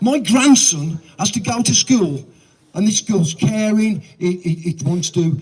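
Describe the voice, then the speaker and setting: The man's voice is high-pitched and animated in tone. His intonation is lively. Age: 70s. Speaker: protest speaker. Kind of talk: protest speech.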